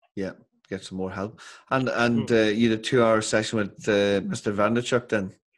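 A man with a Northern Irish accent speaks at a moderate pace in a fairly low voice. His intonation is fairly even, and the background is quiet. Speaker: podcast host. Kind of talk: interview. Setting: video call.

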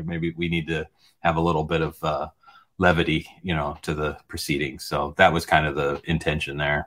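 A man with an American accent has a very deep, low voice. His intonation is flat and monotone. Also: moderate pace. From United States. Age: 50s. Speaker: film director. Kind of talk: interview.

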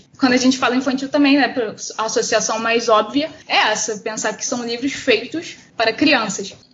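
Moderate pace and fairly even intonation amid noticeable background noise. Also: woman, high pitch for a woman. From Campo Grande, West Zone of Rio de Janeiro, Brazil. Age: 20s. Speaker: art teacher and comic artist. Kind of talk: casual chat.

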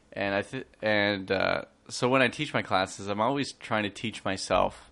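A man speaks with a Canadian accent at a fairly low pitch, his intonation fairly even. It is an ordinary speaking voice. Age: 30s. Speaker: high school teacher. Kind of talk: casual chat.

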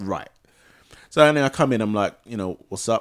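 Using very wide pitch swings, a man with a London accent talks in a fairly low pitch. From Ghana. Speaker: podcast host. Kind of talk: casual chat.

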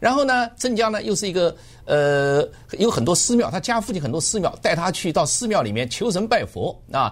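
Over noticeable background noise, a man with a slight Jiangsu accent speaks at a high pitch with very wide pitch swings. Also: moderate pace. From Jiangsu, China (Zhenjiang, born Changzhou). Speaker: author and researcher. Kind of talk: radio interview. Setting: radio studio.

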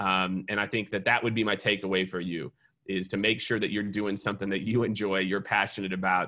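Speaking with an American accent, a man talks at a fairly quick pace in a fairly low voice. His tone is bright and sharp, and the background is quiet. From US Midwest, Kansas City. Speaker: sales consultant. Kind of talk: casual interview chat. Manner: animated.

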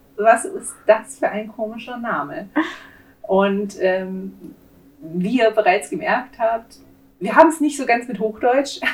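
This woman's pitch makes very wide swings. She talks at a very slow pace. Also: big swings in loudness. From Swabia, southwest Germany. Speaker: true crime podcast co-host. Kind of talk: casual chat.

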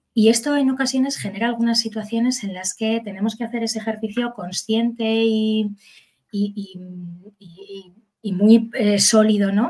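With a fairly high pitch and a dark, mellow tone, a woman speaks in a somewhat breathy voice with fairly even intonation. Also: fairly slow pace, big swings in loudness. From Basque Country, Spain (Bilbao). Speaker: psychologist and educator. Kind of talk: expert interview.

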